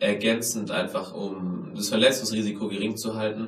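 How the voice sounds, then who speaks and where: Noticeable background noise and audible room echo accompany a man of medium pitch talking at a moderate pace. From Germany, Tübingen. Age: 20s. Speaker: podcast host and capoeira and tricking athlete. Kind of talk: self-interview, casual.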